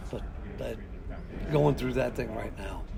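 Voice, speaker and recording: A man talks at a fairly quick pace over background music, with audible echo from the room. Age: 60s. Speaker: founder of a border watch group. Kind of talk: casual interview chat.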